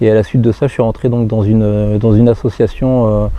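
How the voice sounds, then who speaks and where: A man's medium-pitched, monotone, flat delivery at a moderate pace, with noticeable background noise. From northeastern France, Marne / Seine-et-Marne. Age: 40s. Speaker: firefighter. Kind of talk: personal testimony interview. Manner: halting, many hesitations and repetitions.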